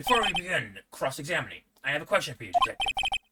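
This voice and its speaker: Using a put-on character voice, a man talks at a very fast pace. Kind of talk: comic overacting. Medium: game stream.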